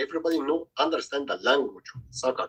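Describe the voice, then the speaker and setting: The dry, close sound with no echo carries a man speaking in an Egyptian accent. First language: Arabic. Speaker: youth soccer coach. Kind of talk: casual group video call chat. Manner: halting.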